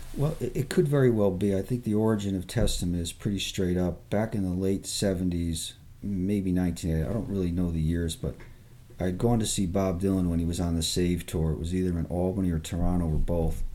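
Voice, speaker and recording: Moving at a fairly quick pace, a man with a very deep, low voice and a dark, mellow tone speaks with ordinary pitch variation. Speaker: singer-songwriter. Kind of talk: interview conversation.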